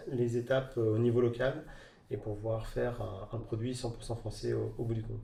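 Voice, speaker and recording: Somewhat breathy and monotone, a man speaks at a medium pitch with a dark, mellow tone and flat intonation, with audible room echo. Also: moderate pace. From Normandy, France (Rouen area). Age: 30s. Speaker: entrepreneur, clothing brand founder. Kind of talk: interview. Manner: halting, many fillers.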